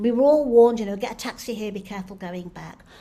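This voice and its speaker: A woman with a Manchester accent speaks at a fairly high pitch. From northern England, Stretford near Manchester. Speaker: playwright and actor. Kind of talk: keynote lecture. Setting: online conference. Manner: halting.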